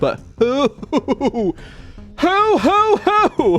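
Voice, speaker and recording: This is a put-on character voice at an extremely high pitch. The pitch swings very widely. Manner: hooting.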